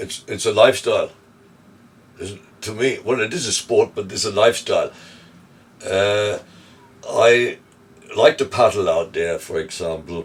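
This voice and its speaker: Noticeable background noise sits behind a man speaking at a moderate pace. He leaves long, frequent pauses, and his loudness swings widely. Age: 70s. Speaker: surfer. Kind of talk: interview answer. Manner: casual, hesitant.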